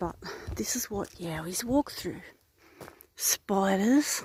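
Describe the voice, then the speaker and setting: A woman with an Australian accent speaks at a fairly slow pace in a medium pitch, her voice somewhat breathy and her pitch varying in an ordinary way. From Australia, Narrabri NSW. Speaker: paranormal investigator vlogger. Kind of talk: outdoor vlog narration. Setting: outdoors in bushland.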